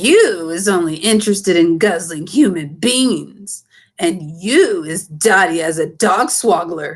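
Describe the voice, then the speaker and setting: Doing a put-on character voice, a woman booms at a medium pitch and a fairly slow pace against a quiet background. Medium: read story. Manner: loud, bullying, ungrammatical.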